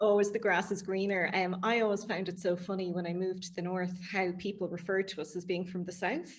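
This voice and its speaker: A woman talks very fast in an Irish accent. Her intonation is monotone and flat. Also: medium pitch for a woman. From Ireland, Dublin and Galway. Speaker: interviewer. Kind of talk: interview.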